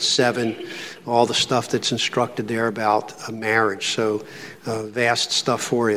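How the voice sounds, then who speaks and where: Speaking at a moderate pace with a Philadelphia accent, a man of medium pitch keeps a monotone, flat intonation over noticeable background noise. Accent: Philadelphia American English. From Philadelphia, US. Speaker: pastor. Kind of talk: lecture.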